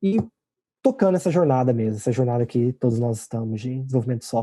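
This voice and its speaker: With a dark, mellow tone at medium pitch, a man speaks in a dry, close sound with no echo. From Brazil. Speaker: programming language creator. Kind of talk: interview. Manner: halting.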